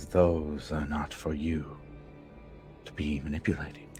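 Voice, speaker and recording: Over clear music in the background, a man performs a put-on character voice. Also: moderate pace. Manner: eerie, warning.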